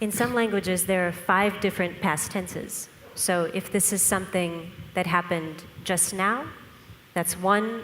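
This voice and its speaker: A woman speaks at a medium pitch and moderate pace. Her intonation stays fairly even. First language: Russian. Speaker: scientist presenter. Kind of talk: lecture. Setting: conference with audience.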